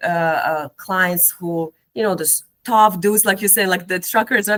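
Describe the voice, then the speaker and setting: A woman with an Eastern European accent, a medium pitch, a bright, sharp tone and ordinary pitch variation. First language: Eastern European language. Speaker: cognitive behavioral therapist and educator. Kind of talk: casual interview conversation. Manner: hesitant, many fillers and repetitions.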